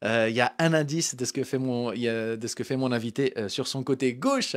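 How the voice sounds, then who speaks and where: Over a quiet background, a man's pitch rises and falls in an ordinary way. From France. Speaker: web show host. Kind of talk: live talk show interview. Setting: studio, live stream. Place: studio. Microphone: handheld.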